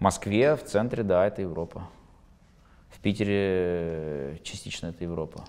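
A man's very deep, low pitch with ordinary pitch variation, moderate pace, long, frequent pauses and big swings in loudness. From Russia, Baku Armenian family moved to Russia. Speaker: football commentator and insider; football commentator. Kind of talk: interview. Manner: halting, many fillers. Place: studio. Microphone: lapel.

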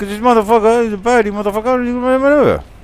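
A man talks with a Cockney accent. His pace is fairly quick. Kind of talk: casual gameplay commentary. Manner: joking, crude.

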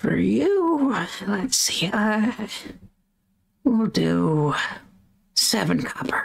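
A put-on character voice moves at a very slow pace with long, frequent pauses. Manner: casual, friendly.

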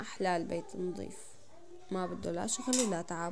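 A woman speaks with a Damascene accent over light background noise. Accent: Damascene Levantine Arabic. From Syria, Damascus. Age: 20s. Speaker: home vlogger, mother; home vlogger. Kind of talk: casual vlog narration. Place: home room. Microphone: phone near.

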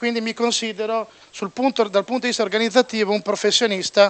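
A man talks in a high voice. His intonation stays fairly even. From Bologna, Italy; Italy. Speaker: sports journalist. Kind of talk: panel debate speech. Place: meeting room. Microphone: handheld.

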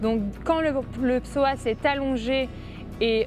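Behind the woman speaking, there is noticeable background noise. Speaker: athlete or fitness coach. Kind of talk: interview answer explaining a stretch. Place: gym.

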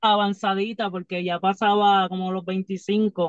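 Against a quiet background, a woman speaks very slowly at a medium pitch, the sound dry with no echo. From Puerto Rico. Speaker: professional wrestler; podcast guest. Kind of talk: casual interview. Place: car. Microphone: phone near.

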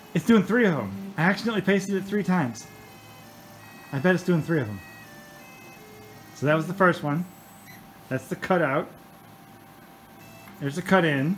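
Background music plays throughout. Over it, a man talks very rapidly, his intonation lively. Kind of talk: casual walkthrough commentary. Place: garage. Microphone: phone near.

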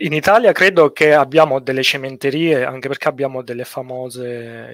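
Over a quiet background, a man speaks at a moderate pace with ordinary pitch variation and a dry sound with no echo. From Sicily, Italy. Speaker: structural engineer; guest. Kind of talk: casual interview on a livestream. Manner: hesitant, many fillers and repetitions. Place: home room. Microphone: headset.

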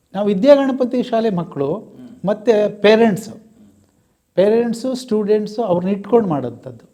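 A man talks in a high voice. The variation in his pitch is ordinary. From Karnataka, Mandya. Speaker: retired teacher. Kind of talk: interview.

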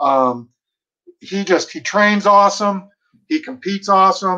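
A man with a bright, sharp tone and ordinary pitch variation at a very slow pace, against a quiet background. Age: 40s. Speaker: bird dog trainer. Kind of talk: casual interview. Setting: video call. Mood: friendly, smiling, nostalgic. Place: home room. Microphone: video call.

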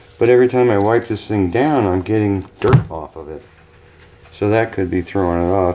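A man's fairly low voice moves at a moderate speed, its pitch varying in an ordinary way. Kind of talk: casual vlog chat. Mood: pleased, laughing. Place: workshop. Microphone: camera far.

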